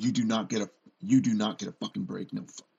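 A man speaks at a fairly quick pace in a put-on character voice. His pitch sits fairly low. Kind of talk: military, profane. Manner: brutal, harshly commanding.

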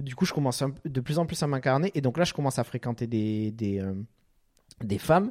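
An animated man with a medium pitch talks at a fairly quick pace and lively intonation, with long, frequent pauses, in a very clean recording with a silent background. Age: 30s. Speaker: podcast host. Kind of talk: casual chat.

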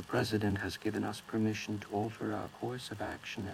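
Talking at a fairly quick pace, a man uses a plain, everyday voice with a fairly low pitch and fairly even intonation. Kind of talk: formal emergency newsreading. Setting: in-fiction emergency broadcast. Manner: stern, official, measured.

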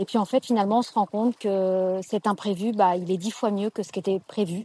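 A woman's dark, mellow tone at medium pitch, monotone and flat in intonation, at a moderate pace with a dry, close sound and no echo. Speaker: podcast listener. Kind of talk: voice message testimony. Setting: outdoors by the sea. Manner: hesitant, many fillers.

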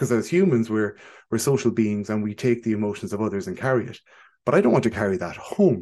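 In an Irish accent, a man with a dark, mellow, medium-pitched voice talks at a fairly quick pace with ordinary pitch variation over a quiet background. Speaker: psychologist. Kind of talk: podcast interview.

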